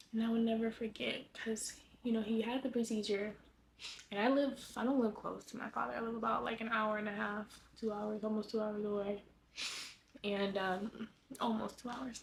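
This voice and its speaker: Leaving long, frequent pauses, a woman with an American accent speaks at a moderate pace and a fairly high pitch with monotone, flat intonation. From Los Angeles, California. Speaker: lifestyle vlogger. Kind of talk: personal life update vlog. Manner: halting.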